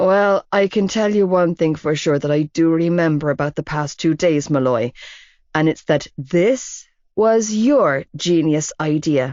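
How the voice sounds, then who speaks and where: A woman's put-on character voice, fairly low and drawling, at a fairly slow pace, with very even loudness and ordinary pitch variation. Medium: read story. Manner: lazy drawl.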